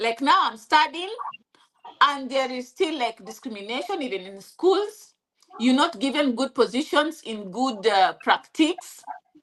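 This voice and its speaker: Pitch swings very widely and loudness rises and falls sharply. The delivery is fairly slow, with a Kenyan accent. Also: woman, high pitch for a woman. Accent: Kikuyu-accented English. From Kenya (Kikuyu). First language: Kikuyu. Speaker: interviewee sharing life story. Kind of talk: interview. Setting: live stream. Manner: halting.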